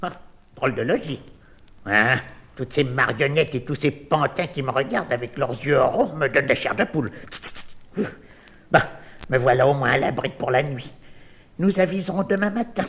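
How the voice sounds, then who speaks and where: In a put-on character voice, a man talks at a moderate pace and a fairly high pitch, with long, frequent pauses. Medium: audio drama. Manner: stammering, flustered.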